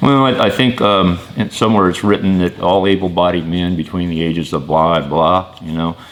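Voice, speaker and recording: Over noticeable background noise, a man with a very deep, low pitch speaks with ordinary pitch variation and hardly any pauses. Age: 50s. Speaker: small business owner. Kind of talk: interview answers. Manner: hesitant, many fillers.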